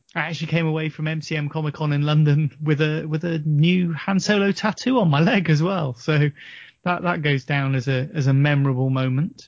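Moderately paced, a man with an unremarkable speaking voice talks in a fairly high pitch with ordinary pitch variation. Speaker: podcast panelist. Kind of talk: casual chat.

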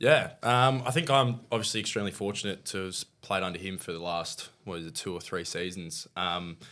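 In a very clean recording with a silent background, a man with an Australian accent speaks fairly quickly in a very deep, low pitch and a bright, sharp tone, with ordinary pitch variation. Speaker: professional cricketer, guest co-host. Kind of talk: casual chat.

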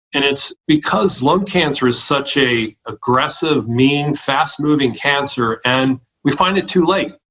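Speaking with hardly any pauses in a normal speaking voice, a man keeps a fairly slow pace and a fairly high pitch with ordinary pitch variation. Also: very even loudness. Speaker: primary care physician. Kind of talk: interview.

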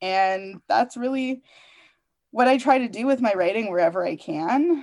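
A woman with a Canadian accent has an ordinary speaking voice. She talks at a fairly slow pace with lively intonation. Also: quiet background. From Canada, Toronto. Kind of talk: interview conversation.

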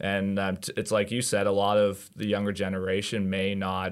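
This man's pitch sits fairly low, and he talks at a moderate pace with fairly even intonation in a normal speaking voice. The recording is very clean, with a silent background. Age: 20s. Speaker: real estate agent. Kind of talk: casual chat.

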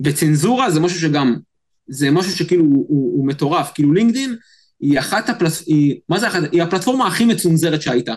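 Speaking at a fairly quick pace, a man with a high pitch keeps his intonation lively and his loudness very even. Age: 30s. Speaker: social media expert. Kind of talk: interview. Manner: animated, repetitive fillers.

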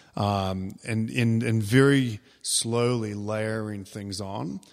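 Recorded very cleanly against a silent background, a man with a New Zealand accent speaks in a fairly low pitch with fairly even intonation. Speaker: fitness coach and gym owner. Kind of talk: interview.

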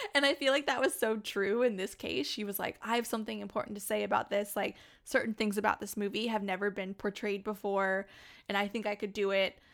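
A woman talks at a fairly quick pace in a plain, everyday voice. Her pitch is medium, with ordinary variation. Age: 30s. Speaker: podcast host. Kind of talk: casual chat. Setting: video call.

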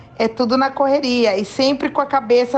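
This woman talks at a moderate pace with a high pitch. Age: 50s. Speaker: cancer patient sharing her experience. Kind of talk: testimony. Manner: spontaneous, lively.

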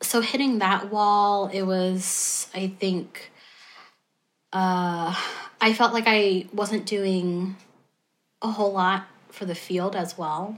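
A woman with an American accent speaks at a very slow pace in a medium pitch, leaving long, frequent pauses. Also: fairly even intonation. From US South, North Carolina. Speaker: former music therapist. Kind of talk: interview.

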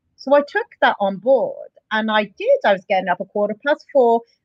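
A woman with a Bedfordshire accent and a fairly high pitch. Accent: southern English, Luton. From England, Luton. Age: 40s. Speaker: gym client. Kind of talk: interview.

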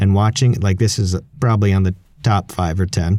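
Speaking fairly quickly, a man has a dark, mellow tone. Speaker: podcast host. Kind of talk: casual chat. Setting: video call.

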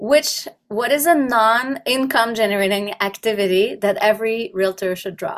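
A woman speaks at a moderate pace in an unremarkable speaking voice. Her intonation is lively, with big swings in loudness. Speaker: podcast host. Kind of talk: podcast interview.

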